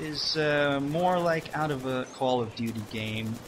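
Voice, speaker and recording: At a very slow pace, a man talks in a fairly high pitch with ordinary pitch variation, against noticeable background noise. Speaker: gaming commentator. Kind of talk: game commentary monologue. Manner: unexcited, sounds bored.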